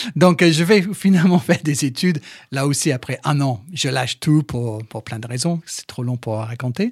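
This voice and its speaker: A man with a fairly high, somewhat breathy voice and lively intonation sounds dry and close, with no echo. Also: moderate pace. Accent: slight English. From England. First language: English (speaking French). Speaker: sports journalist and TV presenter. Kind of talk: casual interview. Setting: studio.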